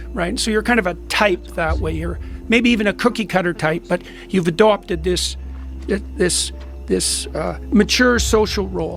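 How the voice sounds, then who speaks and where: Music runs in the background. Over it, a man talks at a moderate pace. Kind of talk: reflective talk on a biblical story.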